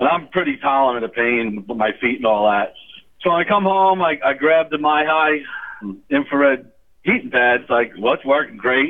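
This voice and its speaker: Ordinary pitch variation in a normal speaking voice, fairly quick in pace. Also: man. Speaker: caller. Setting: phone call.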